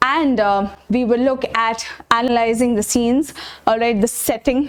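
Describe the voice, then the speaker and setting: A woman with a fairly high pitch, fairly even intonation, a normal speaking voice. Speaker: online tutor. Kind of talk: lecture.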